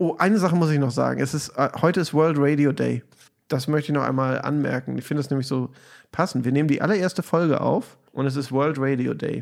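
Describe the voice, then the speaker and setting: Rattling along at a very fast pace, a man keeps a fairly high pitch that varies in an ordinary way. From Germany, Hamburg. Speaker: podcast host. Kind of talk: casual chat.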